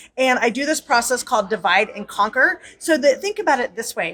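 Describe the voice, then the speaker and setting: Music plays in the background beneath a voice with lively intonation. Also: woman. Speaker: quilting teacher and author. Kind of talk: promotional interview. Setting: convention floor. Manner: fast.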